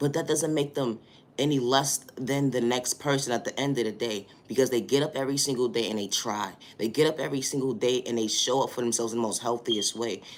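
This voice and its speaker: Delivered at a very fast speed, the speech keeps a fairly even intonation. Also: man, medium pitch for a man. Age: adult. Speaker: motivational vlogger. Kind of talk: motivational monologue. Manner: halting, repetitive.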